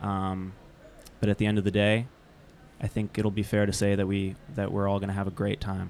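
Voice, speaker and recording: A fairly low male voice at a fairly quick pace, monotone and flat, broken by long, frequent pauses. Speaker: podcast host. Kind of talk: casual chat, interview. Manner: joking, talkative.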